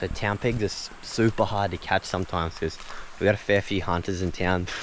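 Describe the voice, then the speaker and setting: At a fairly quick pace and with fairly even intonation, someone speaks in an Australian accent over noticeable background noise. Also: man. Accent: Australian, broad. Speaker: pig hunter. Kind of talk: hunting vlog commentary. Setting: outdoors. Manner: quiet.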